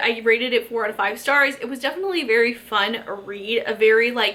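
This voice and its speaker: Through noticeable background noise, a woman speaks in a high pitch with lively intonation. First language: Spanish. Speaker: book YouTuber. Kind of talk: casual chat. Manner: animated; halting.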